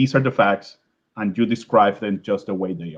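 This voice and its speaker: A man speaks with a strong Venezuelan accent. His pitch varies in an ordinary way. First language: Spanish. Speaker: scientist giving an invited talk. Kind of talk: lecture. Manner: halting, many fillers and repetitions.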